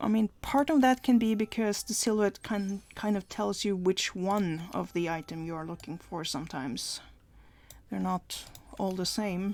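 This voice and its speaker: A woman with a non-native accent speaks at a medium pitch and a fairly slow pace, her intonation lively. The recording is very clean, the background silent. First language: not English. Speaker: gaming video creator. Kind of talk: gameplay commentary. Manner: hesitant, many fillers.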